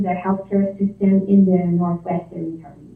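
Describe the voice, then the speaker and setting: A woman speaks at medium pitch. She has a strong Quebec accent. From Quebec, near Quebec City. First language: French. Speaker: nursing instructor and health researcher. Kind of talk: presentation to town council. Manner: hesitant, many fillers.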